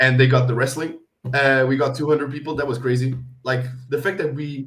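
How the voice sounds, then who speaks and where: This man has a medium-pitched, somewhat breathy voice and a fairly quick pace. His intonation is fairly even, and room echo is audible. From Portugal. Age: 20s. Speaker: professional wrestler. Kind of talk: podcast interview. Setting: live stream. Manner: fast.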